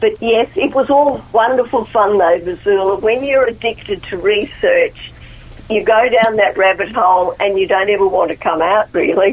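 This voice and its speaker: A woman with an Australian accent talks at a moderate pace in a fairly high voice with ordinary pitch variation. Noticeable background noise can be heard. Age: 70s. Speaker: author. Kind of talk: radio interview.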